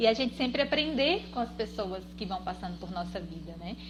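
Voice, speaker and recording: Soft-spoken, a woman talks at a medium pitch. Noticeable background noise can be heard. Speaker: guest on a live stream about personal finance. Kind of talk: casual chat, personal introduction on a live stream. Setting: live video stream.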